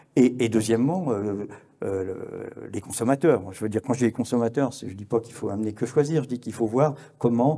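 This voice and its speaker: Ordinary pitch variation runs through the speech at a moderate pace. The tone is dark and mellow. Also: man. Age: 70s. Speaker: journalist and conference speaker. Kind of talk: conference talk. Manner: halting, many hesitations and repetitions.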